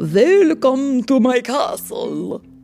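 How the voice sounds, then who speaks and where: Clear background music under a man's put-on character voice at an extremely high pitch. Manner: menacing, theatrical.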